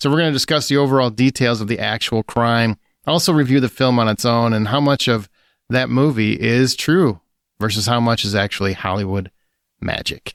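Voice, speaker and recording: With a normal speaking voice, a man talks at a fairly quick pace, using medium pitch and ordinary pitch variation. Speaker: podcast host and film critic. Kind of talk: casual podcast chat; dramatic scripted narration.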